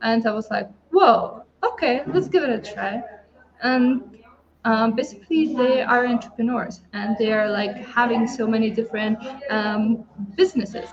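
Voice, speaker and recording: This voice comes with a Lithuanian accent. Noticeable background noise sits behind it. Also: woman. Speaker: entrepreneur. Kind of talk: testimony. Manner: halting.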